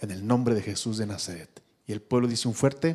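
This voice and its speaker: Here is a man with a medium pitch. His tone is dark and mellow. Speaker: pastor. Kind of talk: closing benediction and prayer; prayer and blessing. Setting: church. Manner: fervent, declaratory. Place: church. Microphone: handheld.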